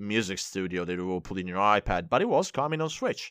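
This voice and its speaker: A man with an Italian accent talks at a fairly quick pace and fairly low pitch. His intonation is lively, and the background is quiet. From Italy. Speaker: music remixer and producer. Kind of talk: casual interview chat.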